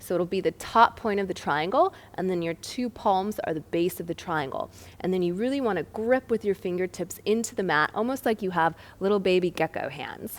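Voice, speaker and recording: A woman's unremarkable speaking voice at a medium pitch, fairly quick, with ordinary pitch variation, in a very clean recording with a silent background. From United States. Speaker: yoga teacher. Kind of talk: tutorial. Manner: calm.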